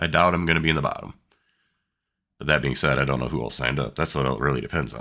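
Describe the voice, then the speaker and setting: Speaking at a very fast pace with vocal fry, this voice has a bright, sharp tone and fairly even intonation. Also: man. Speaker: sim racer. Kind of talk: live gameplay commentary. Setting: home desk setup. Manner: casual.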